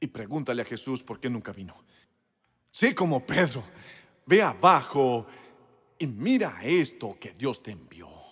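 On a very clean recording with a silent background, a man speaks fairly slowly with long, frequent pauses, big swings in loudness and very wide pitch swings. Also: medium pitch for a man. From US South, South Carolina. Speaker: pastor. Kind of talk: sermon. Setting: church. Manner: animated.

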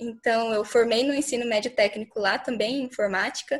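Over a silent background on a very clean recording, a woman talks at a moderate pace with fairly even intonation. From Miranda, Mato Grosso do Sul, Brazil. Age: young. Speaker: student. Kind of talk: panel discussion.

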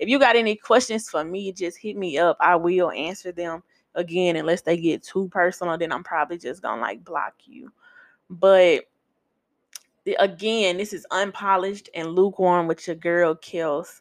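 Speaking at a moderate pace with an American accent, a woman uses a fairly low pitch with ordinary variation, her loudness swinging widely in a dry, close sound with no echo. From US South, Memphis, Tennessee. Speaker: podcast host. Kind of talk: casual monologue. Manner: animated.

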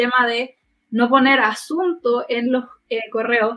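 The intonation of this high-pitched woman stays fairly even. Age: 20s. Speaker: podcast co-host, HR social worker. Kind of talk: casual chat.

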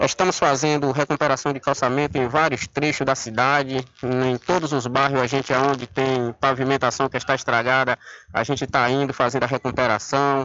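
This man's ordinary speaking voice sits at a medium pitch and moves at a moderate pace. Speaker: municipal public works official. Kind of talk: radio interview.

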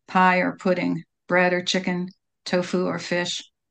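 A fairly slow delivery against a quiet background. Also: woman. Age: 70s. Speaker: poet and magazine editor. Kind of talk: radio interview with poetry reading. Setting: radio studio.

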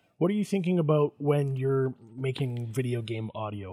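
A man's medium-pitched, somewhat breathy voice with a dark, mellow tone and a Canadian accent. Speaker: podcast host. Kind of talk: casual interview chat.

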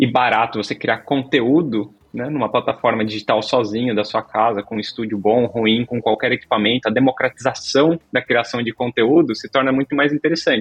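Over background music, a man's medium-pitched voice shows ordinary pitch variation. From Brazil, moved around (Santa Catarina, Minas, São Paulo). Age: 40s. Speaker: tech company CEO. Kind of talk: interview.

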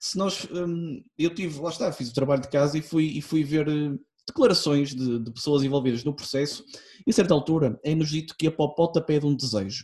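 At a fairly quick clip, a man talks in a dark, mellow, somewhat breathy voice, with pitch that varies an ordinary amount. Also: fairly high pitch for a man. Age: 20s. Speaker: podcast guest. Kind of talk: casual chat. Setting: online recording.

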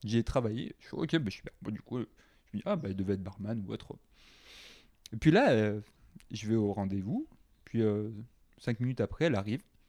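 In a southern French accent, a man with a fairly low pitch and ordinary pitch variation speaks at a fairly quick pace in a calm, relaxed, dark, mellow tone, with long, frequent pauses. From southwest France, Carcassonne. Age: 20s. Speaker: expatriate sharing dating life. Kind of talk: casual interview chat.

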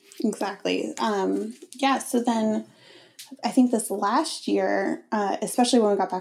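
A woman speaks with a fairly high pitch. Vocal fry runs through her voice. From Connecticut, US. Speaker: fashion designer. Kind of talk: casual interview chat.

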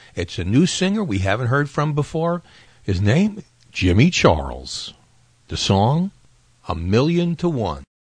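A man with a medium-pitched, somewhat breathy voice speaks at a fairly slow pace with a warm, upbeat tone. His pitch swings very widely, and he takes long, frequent pauses. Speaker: radio host. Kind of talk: 1960 radio dj patter, retro countdown show. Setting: radio show. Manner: warm, upbeat, chatty disc jockey delivery, friendly ad-libs between records.

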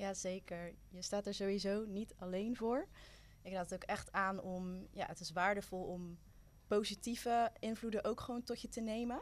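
A woman talks in an ordinary speaking voice at medium pitch. Her pace is moderate and her intonation fairly even. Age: 20s. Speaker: youth worker and student. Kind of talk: casual chat.

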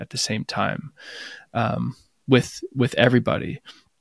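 A man with an American accent speaks at a medium pitch and moderate pace, his intonation fairly even with vocal fry. The very clean recording has a silent background and a dry, close sound with no echo. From US. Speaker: psychotherapist. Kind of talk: casual chat.

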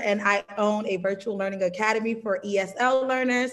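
A woman with an American accent speaks at a fairly high pitch with fairly even intonation. Noticeable background noise runs under her voice. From New York and South Carolina. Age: 30s. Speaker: travel content creator and teacher. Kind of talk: casual interview.

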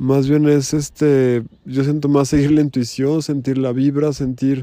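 Dark and mellow in tone, a man's voice sits at medium pitch. He speaks at a moderate pace with monotone, flat intonation. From Mexico City. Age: 40s. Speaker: podcaster. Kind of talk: reflective monologue.

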